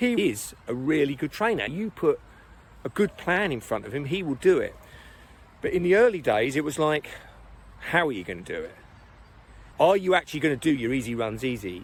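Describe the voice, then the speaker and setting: With an English accent and vocal fry, a man talks at a moderate pace, his pitch swinging very widely. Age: 60s. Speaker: running coach. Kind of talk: casual talk to camera.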